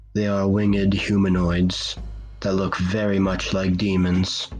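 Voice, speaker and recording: Over music in the background, a man speaks very slowly in a very deep, low pitch with monotone, flat intonation. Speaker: horror story narrator. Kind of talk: cosmic horror story narration.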